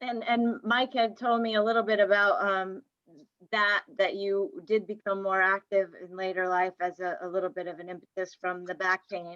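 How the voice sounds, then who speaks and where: A woman with an unremarkable speaking voice talks at a moderate pace and medium pitch, her intonation fairly even but her loudness swinging widely. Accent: American. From Maine, US. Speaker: exercise physiologist and professor. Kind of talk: interview.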